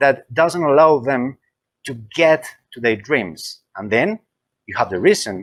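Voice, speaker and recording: A man with a Spanish accent speaks at a moderate pace, his pitch swinging very widely. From Colombia, Medellin. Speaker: library consultant. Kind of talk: interview. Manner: halting, repeats words.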